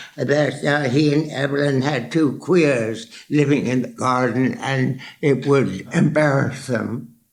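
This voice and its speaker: Over noticeable background noise, a man speaks at a very slow pace in a fairly high pitch. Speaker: portrait artist. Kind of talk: interview answer.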